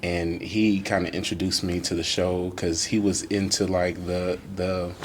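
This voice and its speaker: Against noticeable background noise and audible room echo, a man speaks in a very deep, low pitch with monotone, flat intonation. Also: moderate pace. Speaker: podcast host, artist. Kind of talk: casual chat.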